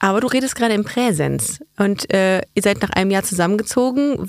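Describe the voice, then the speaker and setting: A woman talks at a fairly quick pace with hardly any pauses and lively intonation. Hers is an ordinary speaking voice at a medium pitch. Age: 30s. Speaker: podcast host. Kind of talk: casual chat. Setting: studio.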